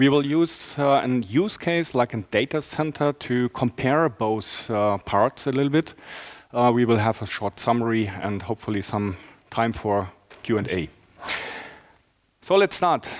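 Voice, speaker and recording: With a German accent, a man speaks at a fairly slow pace and medium pitch, his intonation lively. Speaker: enterprise architect presenting a talk. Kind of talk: conference talk. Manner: halting, many fillers.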